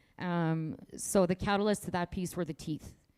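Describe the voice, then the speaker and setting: The voice has a dark, mellow tone and fairly even intonation, captured dry and close with no echo. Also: woman. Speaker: Métis artist. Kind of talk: artist talk conversation. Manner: loud.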